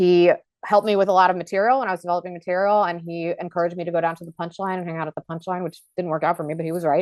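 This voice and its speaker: A woman speaks very fast in a fairly low pitch, her intonation monotone and flat while her loudness swings widely. The sound is dry and close with no echo, over a quiet background. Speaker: stand-up comedian. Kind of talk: casual chat.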